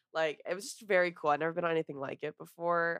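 A very fast woman's voice with a dry, close sound and no echo. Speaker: podcast co-host. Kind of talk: casual chat.

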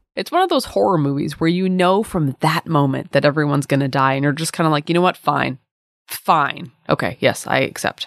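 Someone with an American accent talks at a fairly quick pace on a very clean recording with a silent background. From Plymouth, Massachusetts, US. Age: 30s. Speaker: comedy history podcast co-host. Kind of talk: casual comedic history narration.

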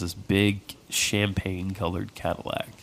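Noticeable background noise sits behind the speech. A man talks in a very deep, low pitch with monotone, flat intonation. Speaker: podcast co-host. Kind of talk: casual chat.

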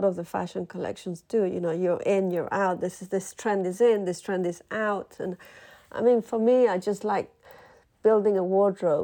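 In a quiet background, a woman with an unremarkable speaking voice talks at a moderate pace, her medium pitch carrying fairly even intonation. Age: 50s. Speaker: fashion designer. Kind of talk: interview.

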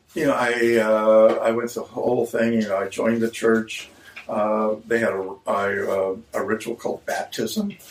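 A man with an American accent at medium pitch, fairly even intonation, a fairly slow pace, and noticeable background noise. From Cumberland, Maryland, Appalachian hills. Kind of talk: interview testimony. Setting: in a store.

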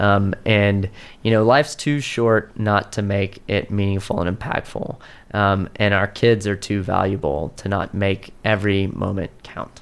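Speaking at a fairly slow pace, a man uses a fairly low voice with fairly even intonation. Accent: American. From Texas (Austin). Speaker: education nonprofit director. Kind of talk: podcast interview.

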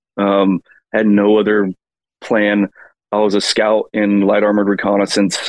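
With an American accent, a man speaks at a moderate pace in a fairly low pitch with monotone, flat intonation. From Colorado. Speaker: country singer and military veteran. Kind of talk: casual chat.

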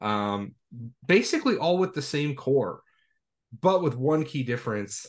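With a quiet background, a man speaks at a medium pitch with lively intonation. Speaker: podcast host. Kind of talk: casual podcast discussion. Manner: fast talker when tired.

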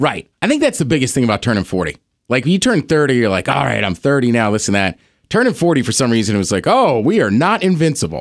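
A man with a medium-pitched voice and vocal fry talks at a very fast pace, his pitch swinging very widely while his loudness stays very even, in a very clean recording with a silent background. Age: 40s. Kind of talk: casual chat.

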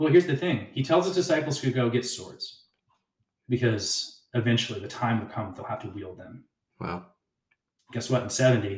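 A man with an American accent speaks at a medium pitch, somewhat breathy, with lively intonation. His loudness swings widely, and he leaves long, frequent pauses. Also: moderate pace. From Texas, rural central (Kempner). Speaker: pastor. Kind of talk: casual chat. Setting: in a home.

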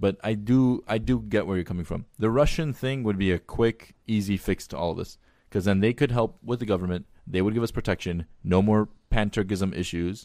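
A man with an American accent has a plain, everyday voice. His pitch is fairly low, with ordinary pitch variation. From Armenian diaspora, Glendale, California. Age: 20s. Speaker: physician. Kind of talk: casual chat.

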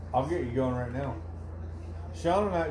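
A man speaks with very wide pitch swings. Audible room echo and noticeable background noise surround him. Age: 40s. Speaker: podcast host. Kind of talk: casual chat. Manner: animated.

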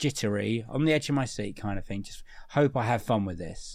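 Speaking at a fairly quick pace and medium pitch, a man with a British accent shows ordinary pitch variation. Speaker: podcast co-host. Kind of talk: casual chat, film review. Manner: jokey, laughs often.

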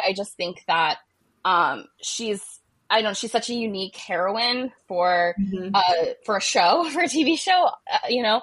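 This woman has a normal speaking voice at a medium pitch, with an American accent. She talks at a fairly slow pace. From Ohio. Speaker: romance novelist. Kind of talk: casual interview chat.

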